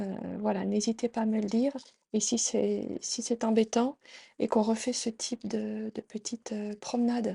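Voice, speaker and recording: Soft-spoken, the woman talks. She goes at a very slow pace. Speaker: tarot reader and meditation guide. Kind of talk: casual intro to camera. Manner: soft-spoken during meditations; halting, many fillers.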